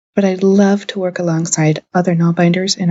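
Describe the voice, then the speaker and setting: Speaking fairly quickly with an American accent, a woman has a fairly low pitch and a somewhat breathy tone. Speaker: podcast host, crafter. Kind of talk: scripted podcast narration.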